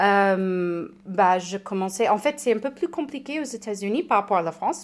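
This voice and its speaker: Here a woman speaks at a medium pitch and a fairly slow pace, her intonation lively. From United States. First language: English (speaking French). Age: 30s. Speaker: recovered alcoholic, patient expert. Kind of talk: testimony. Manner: halting, repeats words.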